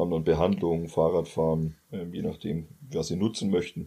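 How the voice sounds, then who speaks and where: Over a silent background on a very clean recording, a man with a very deep, low pitch and a dark, mellow tone speaks at a moderate pace. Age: 20s. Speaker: football coach. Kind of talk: casual interview.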